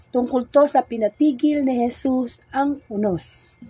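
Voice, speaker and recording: Noticeable background noise sits behind a woman speaking at a fairly slow pace. Her pitch is high with ordinary variation. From Philippines, Bulacan. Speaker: religious sister, gospel preacher. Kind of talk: scripture reading and reflection. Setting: Facebook Live stream.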